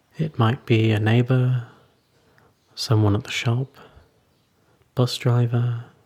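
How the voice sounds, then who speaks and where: A man's somewhat breathy voice in a gentle, calm tone, at a very slow pace with long, frequent pauses. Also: medium pitch for a man. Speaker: meditation teacher. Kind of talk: guided meditation. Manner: slow, calm, soothing; gentle, unhurried, with long pauses.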